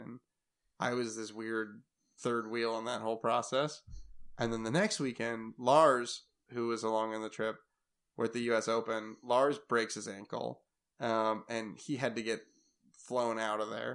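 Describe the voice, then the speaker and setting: This man speaks with an American accent at a medium pitch. His intonation is monotone and flat. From Minnesota. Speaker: pro downhill mountain bike racer. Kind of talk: casual chat.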